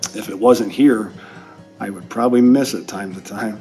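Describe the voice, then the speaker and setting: With music playing in the background, a man speaks at a moderate pace with ordinary pitch variation. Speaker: electrical power distribution instructor. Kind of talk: interview answer.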